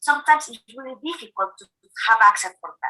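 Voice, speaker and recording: A woman with a Spanish accent speaks in a raised, projected voice, high-pitched, with a bright, sharp tone. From eastern El Salvador. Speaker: food aid program officer. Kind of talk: recorded video interview.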